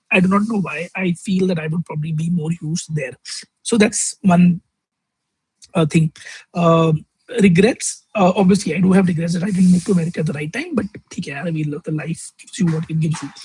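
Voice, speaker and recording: Speaking in a Delhi accent at a fairly quick pace, a man with a high pitch and fairly even intonation sounds dry and close with no echo. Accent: Indian English (Delhi). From North India (Delhi). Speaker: vlogger. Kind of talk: casual vlog monologue. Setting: outdoors in the sun at a fast-food restaurant.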